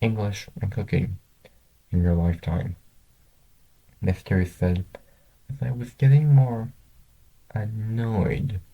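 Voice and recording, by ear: Dark, mellow male voice with vocal fry, fairly low pitch, ordinary pitch variation, slow pace and long, frequent pauses.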